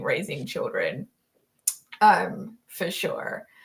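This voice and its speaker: The speaker is a woman. Her speech carries an Australian accent. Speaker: live stream host. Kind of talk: casual chat. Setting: live stream.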